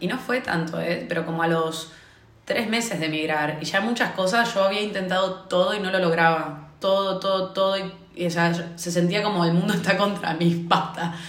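At a moderate pace, a woman speaks in a medium pitch, with audible room echo around her voice. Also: fairly even intonation. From Argentina. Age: 20s. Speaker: consultant. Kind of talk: casual chat.

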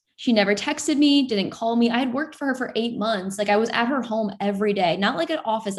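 In a very clean recording with a silent background, a woman with an American accent talks at a very fast pace, her fairly high voice somewhat breathy and showing ordinary pitch variation. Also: hardly any pauses. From Florida. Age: 20s. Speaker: content creator. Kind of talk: casual interview.

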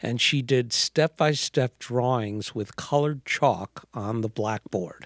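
The speaker talks at a very slow pace with hardly any pauses, in an American accent with ordinary pitch variation. The recording is very clean, with a silent background and a dry, close sound with no echo. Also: man, medium pitch for a man. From New York City, Manhattan. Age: 60s. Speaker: artist. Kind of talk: casual chat. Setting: studio.

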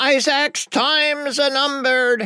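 A shrill, high-pitched put-on character voice moves along at a fairly slow pace. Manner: shrieking.

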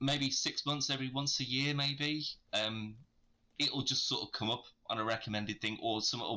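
The speaker talks at a moderate pace in a British accent. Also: man. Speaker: podcast co-host. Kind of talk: casual chat.

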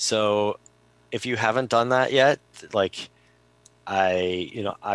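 A man with an unremarkable speaking voice talks at a fairly low pitch with fairly even intonation. The sound is dry and close, with no echo. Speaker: podcast co-host. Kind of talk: casual chat. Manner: relaxed, chatty.

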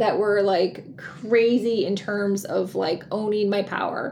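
A woman speaking at a very slow pace amid noticeable background noise. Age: 50s. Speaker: podcast host and life coach. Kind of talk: solo podcast monologue. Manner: casual, with laughter.

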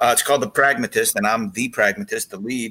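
Bright and sharp in tone, a man speaks at a medium pitch and a fairly quick pace. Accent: American. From Boston (South Boston). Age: 50s. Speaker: TV travel host and actor. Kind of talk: casual interview.

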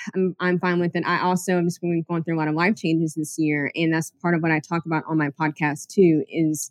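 A woman with a normal speaking voice talks at a fairly quick pace in a fairly low pitch, with ordinary pitch variation and a dry, close sound with no echo. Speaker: podcast host and historian. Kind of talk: casual interview chat.

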